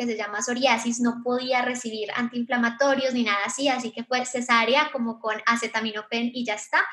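A high-pitched woman speaks at a moderate pace. Noticeable background noise is audible. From Colombia. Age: 20s. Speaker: digital marketing agency founder. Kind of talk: live online panel talk. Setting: live virtual event.

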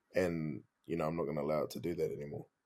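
Speaking in a New Zealand accent, a man goes at a very fast pace. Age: 20s. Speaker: comedian. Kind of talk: casual chat.

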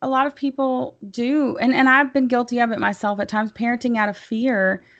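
With a Tennessee accent, a woman speaks at a moderate pace in a high pitch with ordinary variation. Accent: Southern US (Tennessee). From US South, Tennessee (near Chattanooga). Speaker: libertarian podcaster. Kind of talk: casual interview.

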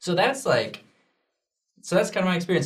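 Room echo is audible around a man with an American accent. His voice is somewhat breathy. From Oregon, Junction City. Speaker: youth church video host. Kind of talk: casual chat.

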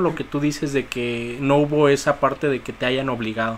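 Over noticeable background noise, a man talks at a moderate pace in a fairly high pitch. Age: 30s. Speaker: podcast host. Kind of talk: casual chat.

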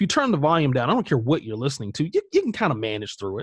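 In an American accent, a man with a fairly high pitch sounds somewhat breathy, recorded dry and close with no echo over a quiet background. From US South, South Carolina. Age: 40s. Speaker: creative entrepreneur and blogger. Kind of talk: casual interview.

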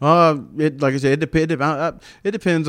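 This man has a Southern US accent. He speaks at a fairly quick pace. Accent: Southern country. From US South, upstate South Carolina. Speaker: army veteran and comedian. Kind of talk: casual chat. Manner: halting.

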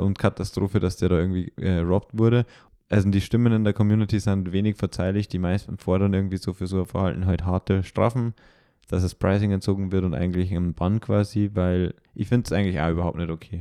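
Very deep and low in pitch, a man's voice with a dark, mellow tone and fairly even intonation races at a very fast pace, the sound dry and close with no echo against a quiet background. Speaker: trading card game podcaster. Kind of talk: casual chat.

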